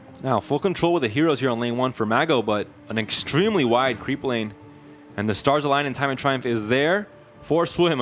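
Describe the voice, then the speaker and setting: Music plays behind a man with a fairly high pitch. He talks at a very fast pace with ordinary pitch variation. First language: Spanish. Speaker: esports caster. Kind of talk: live commentary.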